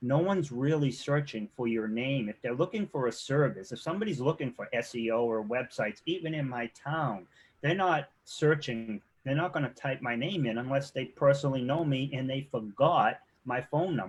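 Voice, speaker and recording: In a quiet background, a man with a Boston accent speaks in a somewhat breathy, fairly high-pitched voice with ordinary pitch variation. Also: moderate pace. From Boston, Massachusetts. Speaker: SEO and web development consultant. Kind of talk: casual interview chat. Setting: live video show.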